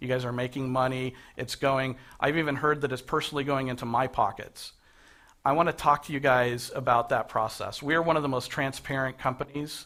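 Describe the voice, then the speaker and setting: Very clean recording with a silent background: a man at medium pitch, bright and sharp in tone, fairly even in intonation, at a fairly quick pace. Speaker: MLS company chief executive. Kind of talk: talk to a live audience. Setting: breakfast meeting with audience. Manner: fast.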